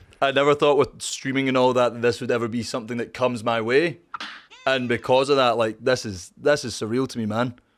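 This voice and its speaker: A man speaks with a Scottish accent at a fairly quick pace. His intonation stays fairly even. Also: medium pitch for a man. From Scotland. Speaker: streamer. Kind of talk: casual chat.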